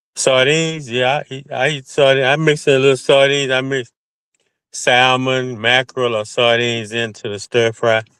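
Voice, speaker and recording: In a Southern US accent, a man speaks at a moderate pace and medium pitch. His tone is bright and sharp, his intonation fairly even. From US South. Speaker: caller. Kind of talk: casual chat; heated debate.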